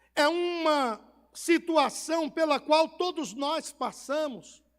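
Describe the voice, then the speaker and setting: Speaking very slowly in a Bahian accent, a man with an extremely high pitch shows ordinary pitch variation on a very clean recording with a silent background. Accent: Bahian Brazilian Portuguese. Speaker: pastor. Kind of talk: sermon.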